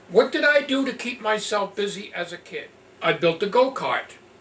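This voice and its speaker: A man with a high-pitched voice at a fairly slow pace, over noticeable background noise. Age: 60s. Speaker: vlogger. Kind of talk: casual reminiscing monologue. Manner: halting.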